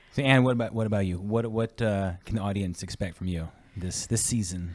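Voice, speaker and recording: A man with a plain, everyday voice, fairly low in pitch and fairly quick, with ordinary pitch variation. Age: 40s. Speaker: podcast host, mortgage lender. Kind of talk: casual chat.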